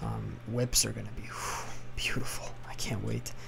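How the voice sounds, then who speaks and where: A man is whispering. His voice is quiet. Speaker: gaming commentator. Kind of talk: game commentary. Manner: whispered, quiet.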